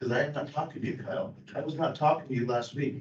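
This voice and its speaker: Speaking very fast with fairly even intonation, a man with a fairly high pitch is heard amid audible room echo. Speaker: former county supervisor. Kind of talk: heated public meeting argument. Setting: county board meeting room. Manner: loud.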